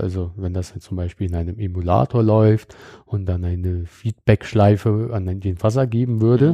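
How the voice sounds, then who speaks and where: An unremarkable speaking voice from a man at moderate pace, with a dry, close sound with no echo and a quiet background. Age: 30s. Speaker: security startup founder. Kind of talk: technical interview. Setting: on site at company office in Bonn. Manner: frequent filler sounds.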